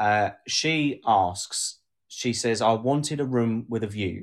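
A man with a southern English accent talks very slowly at medium pitch, with ordinary pitch variation. The recording is very clean and the background silent. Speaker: podcast co-host. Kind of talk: casual chat, live stream. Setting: live video stream. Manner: sarcastic, laughs often.

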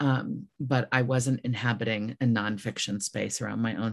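A woman's very deep, low voice with vocal fry, monotone and flat, at a moderate pace. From US Midwest. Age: 50s. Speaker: author. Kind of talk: interview.

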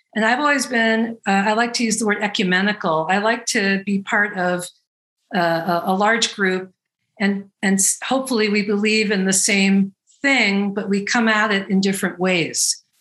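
Using a normal speaking voice, a woman talks at a moderate pace and medium pitch, with fairly even intonation and very even loudness. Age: 50s. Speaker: bodywork practitioner and trainer. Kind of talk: interview conversation. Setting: video call.

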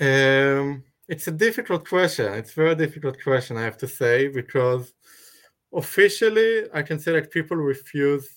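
A man with an Israeli accent, fairly high pitch, lively intonation and a fairly slow pace. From Israel, kibbutz. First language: Hebrew. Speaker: conscientious objector. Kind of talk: live-streamed interview. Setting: video call. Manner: halting.

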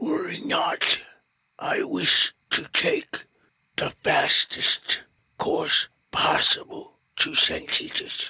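A raspy put-on character voice at an extremely high pitch and a very slow pace. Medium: actual play. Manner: formal, measured, precise.

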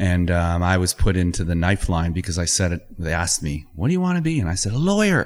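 Speaking very fast with hardly any pauses, a man with a very deep, low pitch and a Canadian accent keeps a fairly even intonation on a very clean recording with a silent background. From Ontario, Canada. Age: 50s. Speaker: environmental lawyer and water advocate. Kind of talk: casual interview. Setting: studio.

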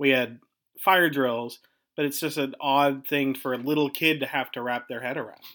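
With an unremarkable speaking voice and an American accent, a man talks at a moderate pace in a fairly high pitch, on a very clean recording with a silent background. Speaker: podcast host and local council member. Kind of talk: interview.

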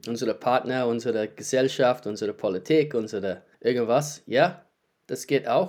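Here a man speaks in a medium pitch. His pace is moderate, with ordinary pitch variation. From New Zealand. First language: English (speaking German). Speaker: qigong teacher. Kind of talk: casual chat. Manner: halting.

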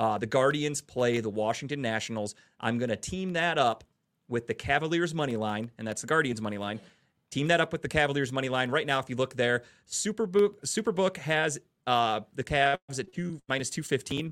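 On a very clean recording with a silent background, a man with an American accent uses a normal speaking voice at a fairly high pitch, talking at a fairly quick pace with lively intonation. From Cleveland, Ohio. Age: 30s. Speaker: sports podcast host. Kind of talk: casual chat. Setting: studio.

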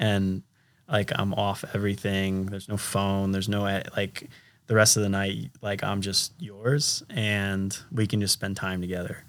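Here is a man with a fairly low pitch and an unremarkable speaking voice, talking at a fairly slow pace with fairly even intonation. The recording is very clean, with a silent background. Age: 30s. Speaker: professional triathlete. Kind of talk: casual chat. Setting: recording in person in Boulder.

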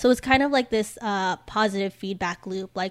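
An ordinary speaking voice belongs to a woman at medium pitch, talking at a fairly quick pace with fairly even intonation. The recording is very clean, with a silent background. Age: 20s. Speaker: recent college graduate discussing environment. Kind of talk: casual chat.

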